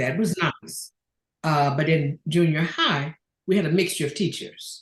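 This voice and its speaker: A woman's very deep, low, somewhat breathy voice at a fairly slow pace, with fairly even intonation. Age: 70s. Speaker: retired public administrator and doctoral student. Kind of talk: interview.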